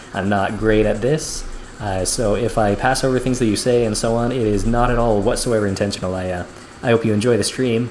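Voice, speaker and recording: Amid noticeable background noise and audible room echo, a man at medium pitch speaks at a fairly quick pace with fairly even intonation. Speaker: video game streamer. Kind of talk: live gameplay commentary. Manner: calm, soft-spoken; halting.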